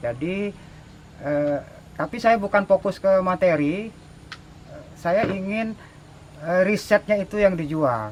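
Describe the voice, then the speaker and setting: With long, frequent pauses, a high-pitched man talks at a very slow pace. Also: ordinary pitch variation. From Indonesia, Jambi (Kuala Tungkal). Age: 60s. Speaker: craftsman. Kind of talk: interview. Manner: hesitant, many fillers.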